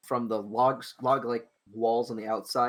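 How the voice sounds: The background is quiet. Over it, a voice reads aloud naturally.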